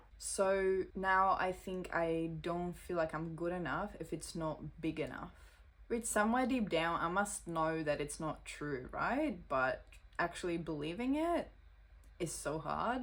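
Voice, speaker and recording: A woman talks at a fairly slow pace. She has a non-native accent. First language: not English. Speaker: social media creator. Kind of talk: reading aloud.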